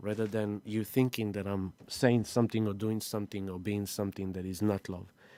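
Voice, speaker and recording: A man with a non-native accent, dark, mellow tone and fairly quick pace, in a dry, close sound with no echo. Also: very clean recording, silent background. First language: not English. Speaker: spiritual astrology live-streamer. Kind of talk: live stream talk. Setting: live stream.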